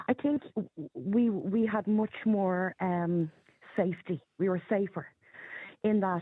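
A woman with an Irish accent speaks very slowly, leaving long, frequent pauses. Her medium pitch has ordinary variation, and her loudness stays very even. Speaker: caller. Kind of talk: call-in radio talk. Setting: phone call. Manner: chatty, laughs easily.

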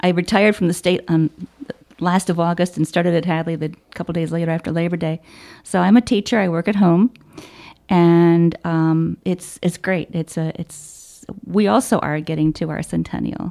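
A woman at a moderate pace, her pitch fairly low. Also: dry, close sound with no echo. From Chicago, southeast side. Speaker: service club president. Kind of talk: interview. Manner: halting, many fillers.

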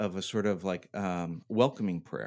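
A man talks in a normal speaking voice, pitched fairly low. His intonation stays fairly even. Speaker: podcast host. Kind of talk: casual chat. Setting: home bunker, recording remotely.

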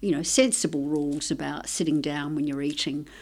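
In a very clean recording with a silent background, a woman with an Australian accent talks with ordinary pitch variation. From Italy (Tuscany), raised in Australia. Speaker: nutrition research scientist. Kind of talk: interview. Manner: halting.

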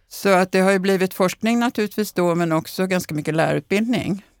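Vocal fry comes through in a dry, close sound with no echo. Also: woman. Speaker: professor of bilingualism. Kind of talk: interview conversation.

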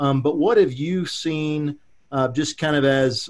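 At a fairly slow pace, a man talks with ordinary pitch variation in an unremarkable speaking voice. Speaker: podcast host. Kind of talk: interview.

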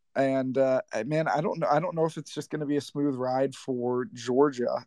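A man with an American accent uses a normal speaking voice at a moderate pace, his fairly high pitch showing ordinary variation in a dry, close sound with no echo. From St. Louis, Missouri. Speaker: caller. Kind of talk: casual chat. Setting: live audio chat space.

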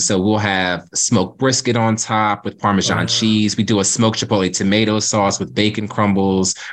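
A man with an American accent uses a plain, everyday voice, fairly low in pitch, speaking at a moderate pace with fairly even intonation and hardly any pauses. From Cape May, New Jersey. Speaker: food truck owner. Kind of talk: casual interview.

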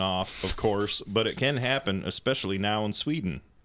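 With a fairly low pitch, a man speaks at a moderate pace in a bright, sharp, playful tone with lively intonation. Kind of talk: casual chat. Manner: joking, playful.

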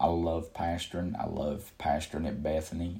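In a Southern US accent, a man talks at a moderate pace with a very deep, low pitch and vocal fry. His intonation stays fairly even, and room echo is audible. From Kannapolis, North Carolina (US South). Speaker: pastor. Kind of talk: sermon.

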